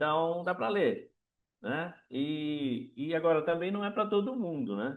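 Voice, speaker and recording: A man with a high pitch speaks at a very slow pace, his voice making very wide pitch swings. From Brazil. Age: 60s. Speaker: author. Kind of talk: book talk. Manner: halting.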